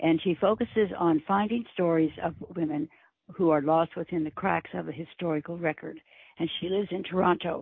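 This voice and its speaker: A woman speaks at a fairly quick pace, her fairly low pitch held to a fairly even intonation. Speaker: podcast co-host. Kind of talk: interview.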